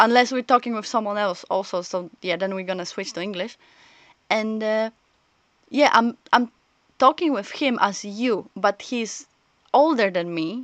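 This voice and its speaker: Someone with a non-native accent talks at a fairly slow pace with lively intonation and long, frequent pauses, the sound dry and close with no echo against a quiet background. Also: woman. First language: not English. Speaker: streamer. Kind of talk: casual chat.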